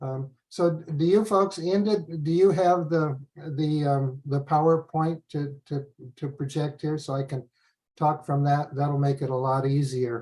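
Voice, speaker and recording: A man with a fairly high, somewhat breathy voice and a dark, mellow tone speaks at a fairly slow pace with fairly even intonation. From US, German-American community. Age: 70s. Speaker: professor and family researcher. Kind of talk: webinar lecture.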